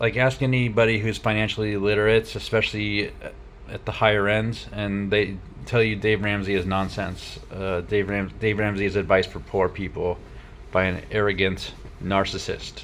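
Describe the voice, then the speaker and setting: This man talks at a moderate pace with a fairly low pitch and fairly even intonation. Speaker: truck driver vlogger. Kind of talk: personal video diary. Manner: halting, many fillers.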